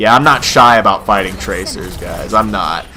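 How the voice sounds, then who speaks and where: Noticeable background noise accompanies the man as he talks. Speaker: gaming youtuber. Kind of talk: gameplay commentary. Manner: animated; casual.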